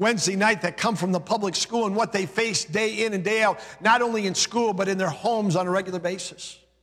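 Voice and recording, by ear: Natural read-aloud speech with intonation that stays fairly even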